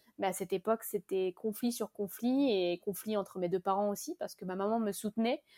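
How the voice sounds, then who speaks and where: A woman with a normal speaking voice at medium pitch talks fairly quickly with hardly any pauses and ordinary pitch variation, in a very clean recording with a silent background and a dry, close sound with no echo. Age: 20s. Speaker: beauty brand founder. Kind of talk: casual interview.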